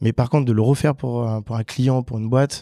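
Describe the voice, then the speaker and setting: A very fast-talking man with a dark, mellow tone, recorded with a dry, close sound and no echo. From French Guiana. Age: 30s. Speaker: lead developer. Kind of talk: casual interview. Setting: office.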